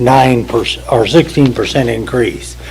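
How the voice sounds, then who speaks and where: Amid noticeable background noise, a man's speech unfolds very slowly. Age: 70s. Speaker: resident giving public comment. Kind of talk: public comment. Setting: podium at public meeting.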